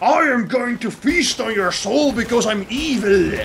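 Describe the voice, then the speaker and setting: A man does a put-on character voice at an extremely high pitch. He speaks at a moderate pace over clear background noise. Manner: menacing, blunt.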